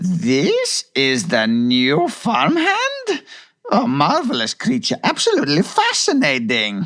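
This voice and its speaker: A man does a put-on character voice. It sits high in pitch and moves at a fairly slow pace. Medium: read story. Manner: haughty, condescending.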